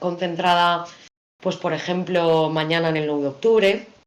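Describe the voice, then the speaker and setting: A woman with an unremarkable speaking voice talks at a moderate pace. Her pitch sits fairly low. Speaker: radio announcer / broadcaster. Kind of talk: interview answer about radio work.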